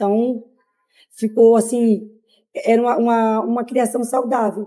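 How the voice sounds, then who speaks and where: Her pitch sits fairly high for a woman. The tone is dark and mellow. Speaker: migrant interviewee. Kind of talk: interview. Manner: hesitant, many fillers.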